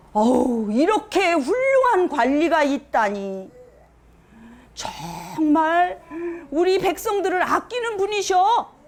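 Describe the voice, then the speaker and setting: An extremely high-pitched woman at a very slow pace, with very wide pitch swings and noticeable background noise. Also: very even loudness. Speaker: storytelling grandmother, volunteer storyteller for children. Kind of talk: folk tale narration to children. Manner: warm, expressive, childlike storyteller delivery.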